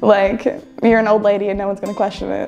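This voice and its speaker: A woman with fairly even intonation, faint music in the background. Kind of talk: interview answer. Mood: friendly, light laughter.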